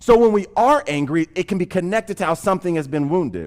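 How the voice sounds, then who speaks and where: With lively intonation at a fairly quick pace, a man speaks at a high pitch on a very clean recording with a silent background. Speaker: pastor. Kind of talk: sermon. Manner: fast.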